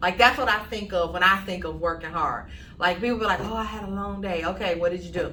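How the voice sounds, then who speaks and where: An animated voice speaks at a very fast pace amid noticeable background noise and audible room echo. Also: woman. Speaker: insurance agency co-host. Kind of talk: casual chat. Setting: office studio, no lapel mics.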